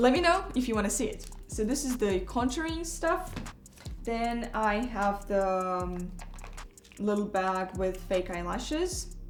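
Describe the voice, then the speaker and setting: In a Russian accent, a woman talks fairly slowly in a fairly high voice with very wide pitch swings, amid audible room echo and noticeable background noise. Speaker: ballet dancer. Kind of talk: tutorial. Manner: casual, with frequent hesitations.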